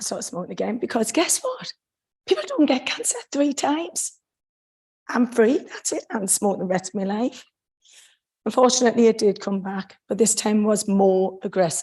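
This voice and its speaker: A woman talks at a moderate pace, somewhat breathy. Her intonation is lively. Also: fairly high pitch for a woman. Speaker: cancer survivor speaking on smoking. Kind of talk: testimony. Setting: council chamber.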